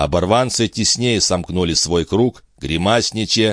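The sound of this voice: Pitch shows ordinary variation. The delivery is an unforced reading voice.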